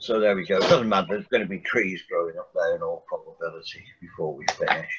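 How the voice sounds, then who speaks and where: A man is speaking. Noticeable noise runs in the background. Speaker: art teacher. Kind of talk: tutorial. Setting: video call. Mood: relaxed, friendly. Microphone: video call.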